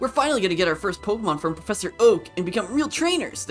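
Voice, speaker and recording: Clear music plays in the background as a man in a put-on character voice talks very fast at a high pitch. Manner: cartoonish.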